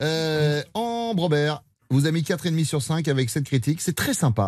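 Against a quiet background, a man speaks at a fairly high pitch. He has an ordinary speaking voice. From France, Vendée. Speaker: radio host. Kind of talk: casual chat. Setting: studio.

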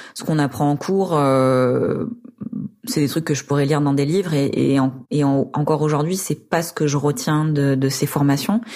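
On a very clean recording with a silent background, the words unfold fairly slowly. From rural France. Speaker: urban gardener telling her story. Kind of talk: personal testimony. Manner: hesitant, many fillers.

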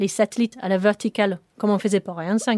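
A woman with a British accent speaks at medium pitch and a fairly quick pace in a dark, mellow tone, with a very clean, silent background and a dry, close sound with no echo. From northern England, Sheffield. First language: English (speaking French). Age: young. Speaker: rocket propulsion engineer. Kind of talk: interview. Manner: halting.

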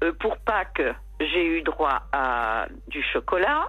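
A woman speaks at a very slow pace. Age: 80s+. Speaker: caller. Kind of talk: casual chat. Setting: phone call.

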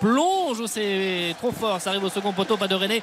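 The speech moves at a fairly slow pace with fairly even intonation. Noticeable background noise runs underneath. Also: man. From Brittany, France. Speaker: football match reporter. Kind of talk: live commentary.

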